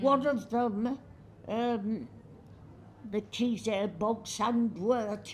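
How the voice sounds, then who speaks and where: A woman speaks at a very slow pace with long, frequent pauses. Her voice is somewhat breathy. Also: fairly high pitch for a woman, fairly even intonation. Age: 80s+. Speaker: botanist. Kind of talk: interview answer.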